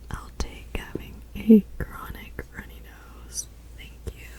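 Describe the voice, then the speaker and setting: A whisper at a very slow pace, gentle and relaxed in tone. Background noise is noticeable. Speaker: ASMR creator. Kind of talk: ASMR game-playing talk to camera. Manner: soft-spoken, gentle, relaxed.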